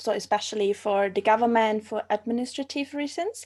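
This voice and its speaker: Fairly high-pitched woman's voice with a German accent, on a very clean recording with a silent background. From Austria. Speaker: archaeology master's student. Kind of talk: live stream interview. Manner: halting, searching for words.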